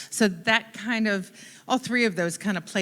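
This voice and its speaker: Loud and moderately paced, a woman speaks in a bright, sharp tone with ordinary pitch variation. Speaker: church member sharing testimony. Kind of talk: testimony.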